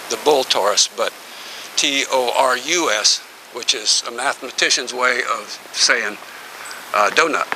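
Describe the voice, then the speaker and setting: Talking at a moderate pace with ordinary pitch variation, a man is heard over noticeable background noise. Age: 70s. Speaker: tai chi and qigong instructor. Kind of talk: instructional workshop. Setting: outdoors in a back yard. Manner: calm, paced guidance.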